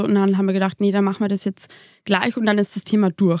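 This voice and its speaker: On a very clean recording with a silent background and a dry, close sound without echo, a woman with a Bavarian accent speaks at a medium pitch. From Lower Bavaria. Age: 20s. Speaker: mother, former nurse. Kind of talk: interview testimony. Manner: hesitant with many fillers.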